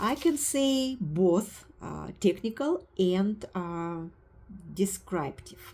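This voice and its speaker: A woman with a non-native accent and a medium pitch, speaking at a very slow pace with very wide pitch swings. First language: not English. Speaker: meditation teacher trainee. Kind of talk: spoken course assignment review. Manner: halting, many fillers.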